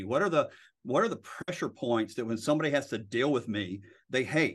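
With lively intonation and a very fast pace, a man talks over a quiet background. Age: 50s. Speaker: real estate broker and lawyer. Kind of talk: interview.

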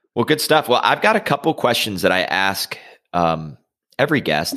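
This man has an American accent and a bright, sharp tone. He speaks at a moderate pace. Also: very clean recording, silent background. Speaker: podcast host, wealth manager. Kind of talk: casual interview.

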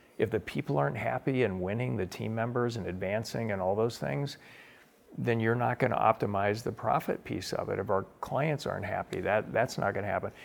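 With vocal fry, a man talks fairly quickly at a fairly low pitch. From US Pacific Northwest (Spokane, Washington). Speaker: author and entrepreneur. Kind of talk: interview.

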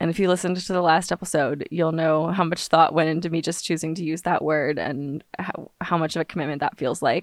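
A woman with a normal speaking voice and an American accent, at a fairly quick pace with fairly even intonation and hardly any pauses. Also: fairly low pitch for a woman. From Los Angeles, US. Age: 20s. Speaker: witchcraft podcaster, author and singer-songwriter. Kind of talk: casual solo podcast monologue. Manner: chatty, humorous, digressive.

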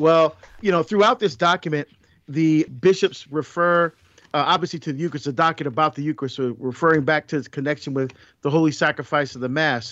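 A man talks at a fairly quick pace in a fairly high pitch with ordinary pitch variation. He has a plain, everyday voice. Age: 50s. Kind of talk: casual faith discussion. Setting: remote recording, virtual studio.

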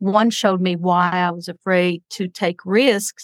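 A woman with a normal speaking voice and fairly even intonation, on a very clean recording over a silent background. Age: 60s. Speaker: psychic. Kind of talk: psychic reading; casual chat.

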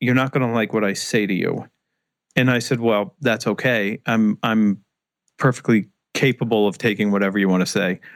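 In an ordinary speaking voice with an American accent, a man talks at medium pitch and a moderate pace, with fairly even intonation and very even loudness, in a very clean recording with a silent background and a dry, close sound with no echo. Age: 40s. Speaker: sales author and speaker. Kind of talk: interview conversation.

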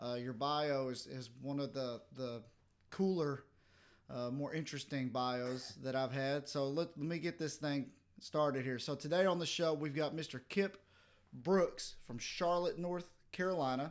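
On a very clean recording with a silent background, a man with a Southern US accent speaks fairly slowly at a fairly high pitch. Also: ordinary pitch variation. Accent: southern drawl. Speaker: podcast host. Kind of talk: casual interview chat.

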